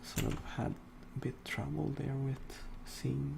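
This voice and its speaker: With a non-native accent, the speaker talks at a very slow pace. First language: not English. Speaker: digital artist. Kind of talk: drawing tutorial. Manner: halting.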